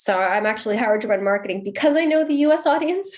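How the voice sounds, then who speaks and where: A woman talks in a plain, everyday voice with an American accent. Her intonation is lively and her pace fairly quick. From US, Seattle. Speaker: marketing executive. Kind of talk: podcast interview.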